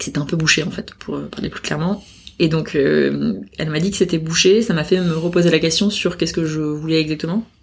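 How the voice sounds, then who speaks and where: Over noticeable background noise, a woman speaks with a very deep, low pitch and ordinary pitch variation. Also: fairly quick pace. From Paris. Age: 30s. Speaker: head of talent. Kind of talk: casual interview. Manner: hesitant, many fillers.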